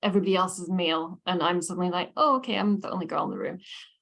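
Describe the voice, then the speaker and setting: A woman speaks with a Scottish accent. Her pitch sits in the medium range. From Scotland. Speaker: lecturer. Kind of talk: lecture. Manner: conversational, many fillers.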